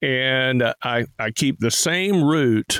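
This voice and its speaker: With a Tennessee accent and ordinary pitch variation, a man speaks in a dry, close recording with no echo. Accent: Southern US (Tennessee). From Tennessee hills. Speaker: radio host and auctioneer. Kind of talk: radio call-in show chat.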